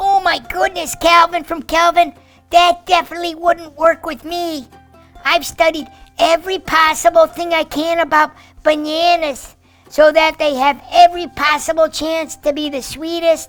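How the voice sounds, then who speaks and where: A cartoonish character voice over faint music in the background. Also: moderate pace. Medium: puppet. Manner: excited, upbeat.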